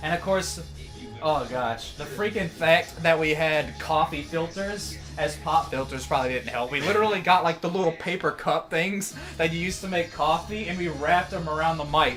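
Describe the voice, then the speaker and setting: With music playing behind him, a man speaks at a moderate pace in a fairly high pitch with ordinary pitch variation. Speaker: hip hop artist. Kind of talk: casual chat. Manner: animated.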